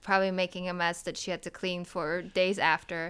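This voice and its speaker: In a Polish accent, a woman speaks with a bright, sharp tone and monotone, flat intonation. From Poland (Wrocław). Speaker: podcast guest. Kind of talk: casual chat.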